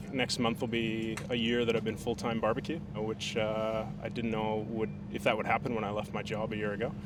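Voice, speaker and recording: Very fast speech from a man with a fairly low pitch, plus audible room echo. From Canada (Alberta). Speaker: barbecue caterer and competitor. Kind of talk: interview. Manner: casual, hesitant fillers.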